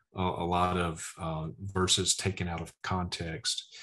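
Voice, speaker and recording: In a Southern US accent, a speaker talks over a quiet background. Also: man. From Mississippi. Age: 40s. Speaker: preacher. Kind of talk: testimony.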